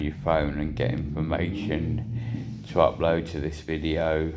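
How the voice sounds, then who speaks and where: A man's very deep, low voice over background music. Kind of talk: casual talk to camera. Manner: monotone.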